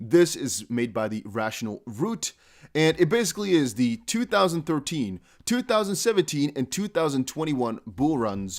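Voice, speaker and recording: A man's fairly high voice with a non-native accent, fairly quick in pace with very wide pitch swings, on a very clean recording with a silent background. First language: not English. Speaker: crypto YouTuber. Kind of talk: casual video commentary. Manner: conversational, direct address to viewers.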